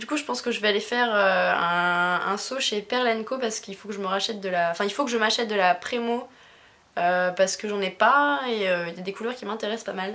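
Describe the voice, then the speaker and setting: A woman's fairly high voice moves at a fairly quick clip, with pitch that shifts in an ordinary way. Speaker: YouTuber, craft haul vlogger. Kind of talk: casual haul vlog. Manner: fast; hesitant, many fillers.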